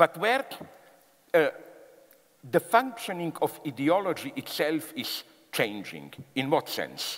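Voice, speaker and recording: With a Slavic accent, a high-pitched man speaks with very wide pitch swings and long, frequent pauses over noticeable background noise. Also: fairly slow pace. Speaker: philosopher giving a public talk. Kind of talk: public lecture to a live audience.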